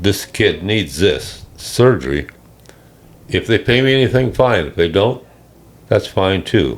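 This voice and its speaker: A man with an American accent talks at a moderate pace, his intonation lively. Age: 80s+. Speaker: retired air force pilot, war veteran. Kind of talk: interview answer, personal reminiscence.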